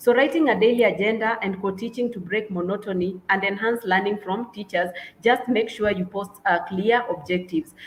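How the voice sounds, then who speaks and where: Somewhat breathy, a woman speaks at a fairly quick pace. Her voice sits at medium pitch with ordinary variation. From Kenya. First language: Kenyan mother tongue, not English. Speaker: English and literature teacher. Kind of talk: webinar presentation. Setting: online webinar. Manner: halting, many fillers.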